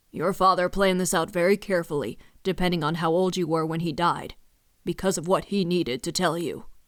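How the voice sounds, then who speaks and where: A woman puts on a character voice, fairly low in pitch with fairly even intonation. She talks at a fairly quick pace on a very clean recording with a silent background. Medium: read story. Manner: hesitant, solemn.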